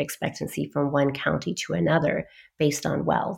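A woman with an American accent talks at a moderate pace with vocal fry. The recording is very clean, with a silent background. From US and London. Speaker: psychiatrist. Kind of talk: interview.

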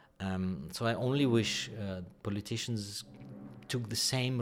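A man with a Ukrainian accent, fairly slow pace and ordinary pitch variation, with audible room echo. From Ukraine. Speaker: orchestra conductor. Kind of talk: interview. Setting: dressing room. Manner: halting.

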